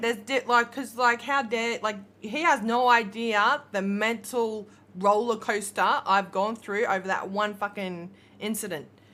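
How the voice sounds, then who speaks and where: Speaking at a fairly slow pace, a woman with an Australian accent has a fairly high voice and a bright, sharp tone. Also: fairly even intonation, very clean recording, silent background. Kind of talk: casual livestream chat.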